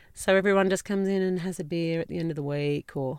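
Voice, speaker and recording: A woman's fairly even intonation on a very clean recording with a silent background. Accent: Australian. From rural New South Wales, Australia. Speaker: candle maker and small business owner. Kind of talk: casual interview. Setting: inside a parked farm ute. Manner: relaxed, with frequent fillers.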